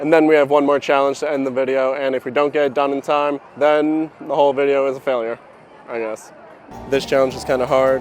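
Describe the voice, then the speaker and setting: Over background music, a man speaks at a fairly quick pace in a flat monotone. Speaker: YouTuber vlogger. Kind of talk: casual vlog narration and street interview. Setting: outdoors at a shopping district.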